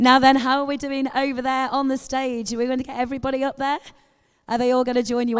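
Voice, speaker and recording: A very fast pace in a Liverpool accent. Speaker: event presenter.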